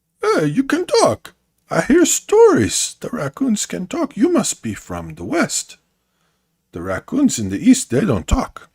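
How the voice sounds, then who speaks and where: A man's put-on character voice, fairly slow, with big swings in loudness and a dry, close sound with no echo. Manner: surprised, amused.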